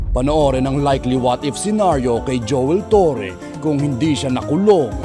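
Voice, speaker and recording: Music plays in the background as a man with a fairly high pitch speaks at a moderate pace. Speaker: parody trailer narrator. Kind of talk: parody movie trailer narration.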